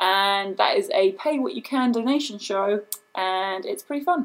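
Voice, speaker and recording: With a British accent, a woman at medium pitch speaks in very wide pitch swings. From England. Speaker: video producer and comedic performer. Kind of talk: casual chat.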